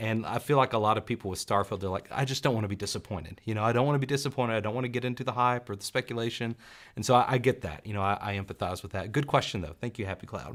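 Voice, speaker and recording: A man with a slight Southern US accent talks at a very fast pace with hardly any pauses, his pitch medium and its variation ordinary. The recording is very clean, with a silent background. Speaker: gaming youtuber. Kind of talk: live stream chat.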